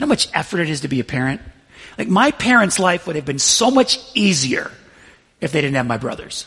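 Speaking at a fairly quick pace, a man uses a high, bright, sharp voice with very wide pitch swings. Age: 40s. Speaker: pastor. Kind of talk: sermon.

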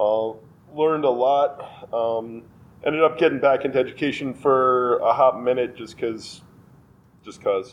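A man with a normal speaking voice, moderate pace, fairly even intonation, and big swings in loudness. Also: medium pitch for a man. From New York (Westchester). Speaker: brewery owner. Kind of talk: casual interview.

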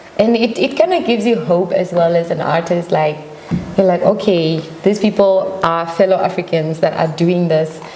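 With very even loudness and ordinary pitch variation, the speech moves at a moderate pace amid noticeable background noise and audible room echo. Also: woman, fairly low pitch for a woman. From Namibia. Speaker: singer. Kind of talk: interview. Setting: studio.

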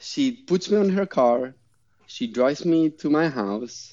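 With a non-native accent, the speaker goes at a fairly slow pace with very wide pitch swings. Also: man. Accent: noticeable foreign. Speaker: master parachute rigger and skydiver. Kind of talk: casual chat. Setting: remote call over the internet. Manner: animated.

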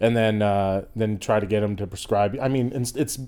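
A man speaks with an American accent. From Boston, Massachusetts. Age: 40s. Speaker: comedian. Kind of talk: casual chat.

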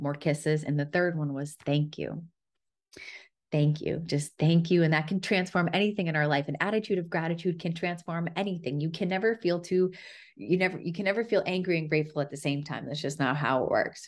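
Against a quiet background, a woman talks at a fairly quick pace in an unremarkable speaking voice, with a fairly low pitch and ordinary pitch variation. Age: 30s. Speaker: podcast host. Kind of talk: solo storytelling monologue.

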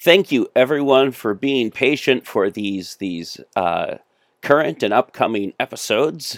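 The recording is very clean, with a silent background and a dry, close sound with no echo. The speaker goes at a fairly slow pace, with vocal fry and lively intonation. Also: man, medium pitch for a man. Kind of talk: casual podcast outro. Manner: halting, filler-heavy, repeats words.

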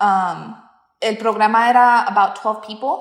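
A woman speaks fairly slowly. Her intonation is monotone and flat. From US Midwest, southwest Kansas. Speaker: dental hygienist. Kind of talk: casual interview.

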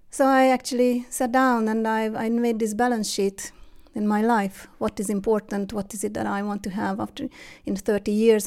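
In a very clean recording with a silent background, a woman speaks at a moderate pace and a fairly high pitch, with monotone, flat intonation. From Hungary. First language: Hungarian. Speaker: interview guest, mother. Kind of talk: casual interview. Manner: halting.

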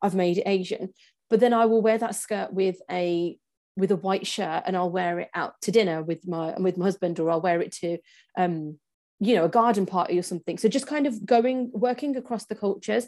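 Her tone dark and mellow, a woman with an English accent speaks fairly quickly in a medium pitch with ordinary pitch variation. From England, Punjabi family. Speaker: personal stylist. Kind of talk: casual interview chat.

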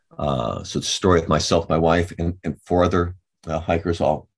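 Very deep and low with vocal fry, a man's voice moves at a fairly quick pace with fairly even intonation. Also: quiet background. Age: 70s. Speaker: trail angel and author. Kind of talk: casual interview, storytelling. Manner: halting, filler-heavy.

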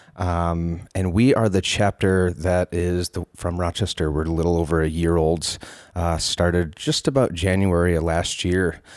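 Speaking with an American accent, a man uses a very deep, low pitch and fairly even intonation at a moderate pace with hardly any pauses. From western New York (Palmyra). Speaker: cannabis reform activist. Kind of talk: casual interview.

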